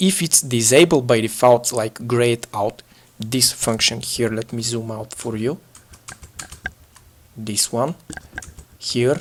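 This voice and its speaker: A man speaks at medium pitch and a very slow pace, with long, frequent pauses. Background noise is noticeable. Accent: non-native. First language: not English. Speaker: gaming tutorial youtuber. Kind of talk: tutorial. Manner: halting, frequent filler uhs.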